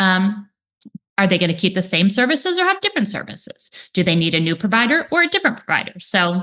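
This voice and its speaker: A woman speaks at a very fast pace in a bright, sharp tone, her medium-pitched voice carrying lively intonation. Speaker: speech therapist. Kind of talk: webinar presentation.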